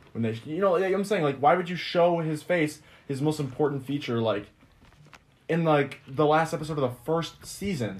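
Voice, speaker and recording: Speaking at a moderate pace, a man with a normal speaking voice sits fairly high in pitch and shows ordinary pitch variation. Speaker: podcast co-host, college student. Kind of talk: casual chat.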